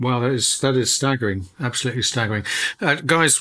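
The recording is very clean, with a silent background. A man with a plain, everyday voice speaks at medium pitch with ordinary pitch variation. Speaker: radio host. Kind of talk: radio interview. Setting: studio.

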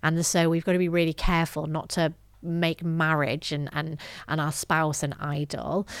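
A woman with a northern English accent speaks at a moderate pace in a fairly low pitch, captured in a very clean recording with a silent background. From northern England. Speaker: gender justice specialist and author. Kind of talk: interview.

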